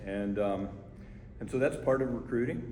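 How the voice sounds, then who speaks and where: Audible room echo surrounds a man with a fairly low pitch. He talks at a moderate pace, his intonation lively. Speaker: fire chief. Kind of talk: community meeting Q&A. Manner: conversational, repetitive.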